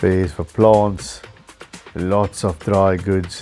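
Over faint music in the background, the intonation stays monotone and flat. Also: man. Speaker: hobbyist vlogger. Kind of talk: casual tour commentary. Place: shop.

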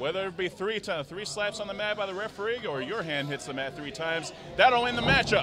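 Raising and projecting his voice, a man talks fairly quickly in a high pitch with lively intonation amid noticeable background noise. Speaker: wrestling commentator. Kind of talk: live wrestling commentary.

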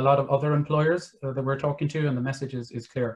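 A man with an Irish accent speaks at a fairly high pitch, somewhat breathy. His intonation stays fairly even. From Ireland. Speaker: careers manager. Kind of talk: webinar interview. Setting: video call. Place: home room. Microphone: webcam.

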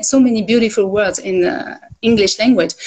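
With a French accent, a woman talks at a fairly quick pace and a fairly high pitch, showing ordinary pitch variation. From France. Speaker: livestream guest; guest. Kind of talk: casual chat. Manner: halting. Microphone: phone near.

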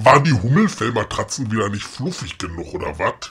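This is a man doing a put-on character voice. He talks at a fairly quick pace. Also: medium pitch for a man. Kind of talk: comedy audio drama. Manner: gruff, sarcastic.

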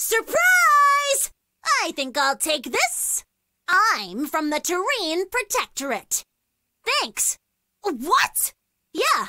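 Putting on a character voice, a woman speaks very slowly at an extremely high pitch with very wide pitch swings. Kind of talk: video game combat voice lines. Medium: video game. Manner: upbeat, cocky, playful.

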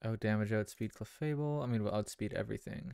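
A quiet man's voice, fairly low in pitch, with ordinary pitch variation and a moderate pace. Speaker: video game streamer. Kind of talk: live gameplay commentary and chat. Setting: live stream. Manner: quiet, subdued; hesitant, many fillers.

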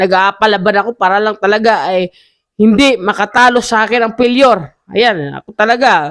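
In a very clean recording over a silent background, the talking goes at a fairly quick pace. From Visayas, Philippines. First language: Cebuano (speaking Tagalog). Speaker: entrepreneur vlogger. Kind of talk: casual vlog monologue. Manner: halting, many fillers.

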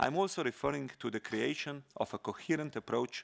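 A man speaks with vocal fry over a quiet background. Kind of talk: formal speech. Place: hall. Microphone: podium.

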